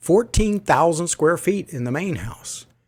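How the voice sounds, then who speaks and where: Delivered at a moderate pace, the speech comes on a very clean recording with a silent background. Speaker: audiobook narrator. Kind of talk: audiobook reading. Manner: informal storytelling.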